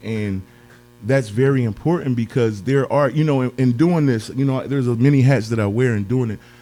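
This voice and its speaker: A man talks with ordinary pitch variation at a medium pitch. Behind him, music is playing. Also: fairly quick pace. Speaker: podcast host. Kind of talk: interview. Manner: hesitant, many fillers; expressive.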